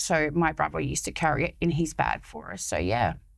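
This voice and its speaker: The recording is very clean with a silent background, and the speaker has an Australian accent. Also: woman. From Sydney, Australia (born in France, moved as a small child). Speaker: charity founder. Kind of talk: casual chat.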